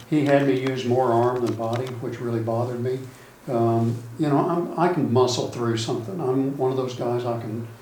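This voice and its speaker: A man talks at a moderate pace with fairly even intonation, over noticeable background noise and audible room echo. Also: medium pitch for a man. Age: 60s. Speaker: golf student. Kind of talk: casual chat.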